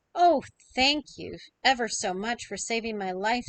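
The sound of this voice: A woman puts on a squeaky character voice, fairly high-pitched and at a moderate pace, against a quiet background.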